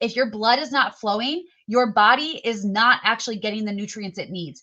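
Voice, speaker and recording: This woman's voice sits fairly high and has a bright, sharp tone. She sounds animated. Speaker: health product presenter on live stream. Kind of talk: sales pitch. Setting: live stream in online group. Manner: fast.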